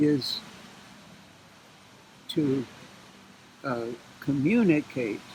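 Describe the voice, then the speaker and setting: There is noticeable background noise as a man talks at a very slow pace. His pitch is fairly high, with ordinary variation. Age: 80s+. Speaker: psychologist. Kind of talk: interview answer. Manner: slow, halting.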